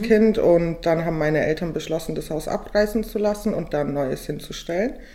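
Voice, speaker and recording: A woman with ordinary pitch variation keeps a moderate pace as noticeable background noise runs behind her. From Bavarian Swabia, Weißenhorn near Ulm. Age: 20s. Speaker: law student. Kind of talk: casual chat. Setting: studio table.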